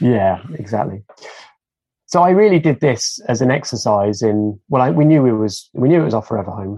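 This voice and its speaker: Lively intonation marks a man's medium-pitched voice with a dark, mellow tone. He moves at a fairly quick pace. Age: 50s. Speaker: retrofit consultant. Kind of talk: casual chat.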